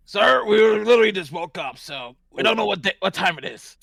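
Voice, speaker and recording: Raspy and put on, this character voice keeps a moderate pace. Its loudness swings widely. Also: man, high pitch for a man. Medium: actual play.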